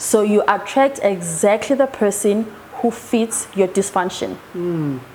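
Noticeable background noise sits under the voice. The pace is fairly slow, and the intonation is lively. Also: woman, medium pitch for a woman. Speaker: hypnotherapist. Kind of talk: interview.

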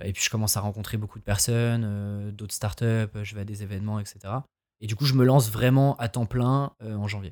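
On a very clean recording with a silent background, a man with an ordinary speaking voice talks at a moderate pace, fairly low in pitch with fairly even intonation. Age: 20s. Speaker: freelancer and podcaster. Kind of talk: casual chat.

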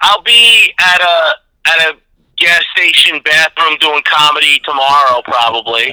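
A man with an American accent talks at a fairly slow pace, his tone bright and sharp and his intonation lively. His loudness stays very even, and the sound is dry and close with no echo. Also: fairly high pitch for a man. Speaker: comedian guest.

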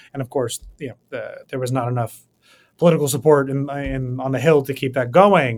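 In an American accent, a man speaks at a moderate pace with medium pitch, fairly even intonation and an ordinary speaking voice. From US, New York City. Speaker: policy researcher and author. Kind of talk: interview.

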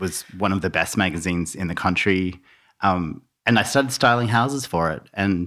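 Very clean recording with a silent background of a man with an Australian accent, a very deep, low pitch, a bright, sharp tone and a moderate pace. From Tasmania and Melbourne, Australia. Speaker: interior stylist and designer. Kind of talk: casual interview chat.

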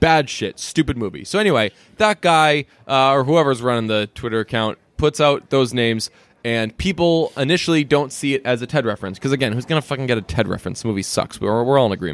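Speaking at a very fast pace, a man with an American accent uses lively intonation at a medium pitch. The sound is dry and close with no echo, in a very clean recording with a silent background. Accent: slight Boston tinge when speaking fast. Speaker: podcast co-host. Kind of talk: casual chat. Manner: animated.

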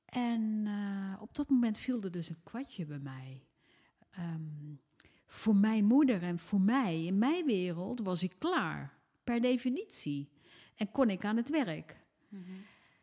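The voice is somewhat breathy, with very wide pitch swings. Speech moves at a very slow pace. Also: woman. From Netherlands. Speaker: former member of parliament. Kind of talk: casual chat. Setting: at home.

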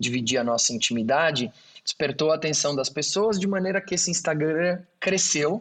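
A man talks with lively intonation. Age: 40s. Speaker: engineer and auctioneer, NGO founder. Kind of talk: interview. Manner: halting.

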